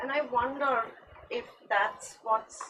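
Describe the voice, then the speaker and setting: A woman speaks with a Gujarati accent. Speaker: artist. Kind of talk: panel discussion.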